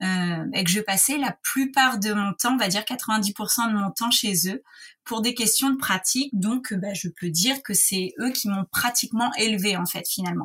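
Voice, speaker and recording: The woman's voice is fairly high. She talks at a fairly slow pace. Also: ordinary pitch variation. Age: 30s. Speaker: patient with Crohn's disease. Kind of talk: personal testimony. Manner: hesitant, many fillers.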